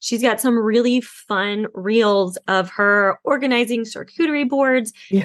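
Here is a woman with a fairly high pitch and ordinary pitch variation, heard against a quiet background. She has an unremarkable speaking voice. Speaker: podcast host. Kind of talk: casual interview chat.

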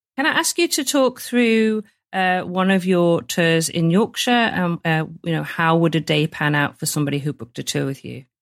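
With hardly any pauses, a woman with a northern English accent speaks in lively intonation. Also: fairly low pitch for a woman, moderate pace. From northern England. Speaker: podcast host. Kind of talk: interview.

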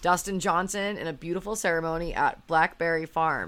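A woman with an ordinary speaking voice talks at a moderate pace, her pitch fairly low. The recording is very clean, with a silent background. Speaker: podcast host. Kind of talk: casual podcast chat.

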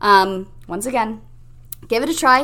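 A woman with a fairly high voice uses ordinary pitch variation in an unremarkable speaking voice. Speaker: mindset coach and podcast host. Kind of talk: pep talk. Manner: warm, encouraging, upbeat; guiding, instructive, calm pacing.

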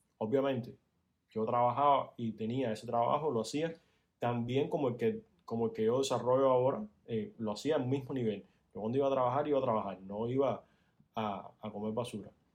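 Fairly quick talk from a man at medium pitch, his pitch varying in an ordinary way. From Cuba. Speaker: podcast guest, host's fiancé. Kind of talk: casual chat.

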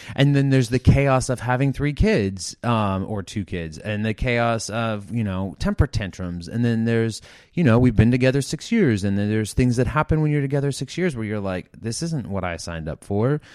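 A man with an unremarkable speaking voice, lively intonation, a moderate pace and a quiet background. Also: medium pitch for a man. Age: 40s. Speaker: recovering addict sharing his story. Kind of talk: casual interview chat.

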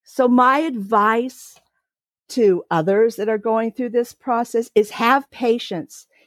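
A woman speaks with a West Coast US accent. Her pitch is fairly high. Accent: General American (West Coast). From California. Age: 60s. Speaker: podcast guest sharing family story. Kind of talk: personal testimony.

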